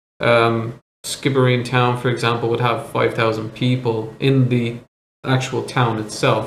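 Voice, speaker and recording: A man with a Dublin accent speaks at a medium pitch and a fairly slow pace. His intonation is monotone and flat, and his loudness stays very even. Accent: Irish (Dublin). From Ireland, Dublin. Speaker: vlogger. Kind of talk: interview.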